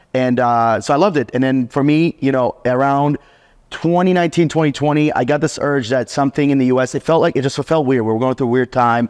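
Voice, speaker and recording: At a very fast pace, a man with an American accent speaks at a medium pitch with very even loudness, the sound dry and close with no echo. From US South, Atlanta, Georgia. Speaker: remote hiring entrepreneur, podcast host interviewed. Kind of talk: casual interview chat. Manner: animated.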